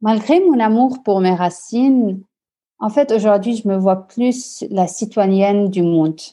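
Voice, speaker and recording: Against a quiet background, a woman with a medium pitch and a dark, mellow tone speaks at a very slow pace. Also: ordinary pitch variation. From Lebanon. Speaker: social entrepreneur, CEO. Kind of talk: interview. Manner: halting, repeats words.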